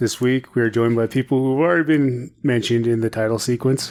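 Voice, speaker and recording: Music plays in the background as a man speaks at a medium pitch with fairly even intonation. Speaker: podcast host. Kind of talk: casual chat. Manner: loud.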